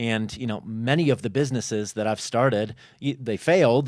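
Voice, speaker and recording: On a very clean recording with a silent background, a man speaks at a moderate pace and medium pitch with fairly even intonation in a normal speaking voice. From Chicago, US Midwest. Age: 40s. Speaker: entrepreneur and fitness content creator. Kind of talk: podcast interview. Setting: studio.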